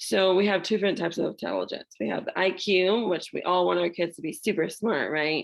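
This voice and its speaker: A woman's fairly low voice with vocal fry and ordinary pitch variation. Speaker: parenting class presenter. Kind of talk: online parenting class presentation. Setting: video call.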